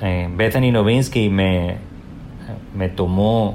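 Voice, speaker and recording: A man talks at a fairly slow pace with a fairly low pitch. Audible room echo surrounds his voice. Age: 40s. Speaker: digital humanities librarian. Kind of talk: interview.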